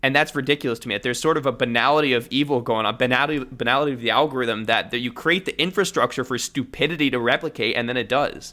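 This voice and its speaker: Very fast delivery with hardly any pauses, a bright, sharp tone and ordinary pitch variation. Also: man, medium pitch for a man. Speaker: linguistics content creator and author. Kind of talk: interview conversation.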